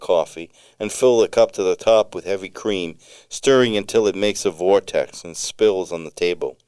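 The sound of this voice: This is an unforced reading voice. It reads without strain.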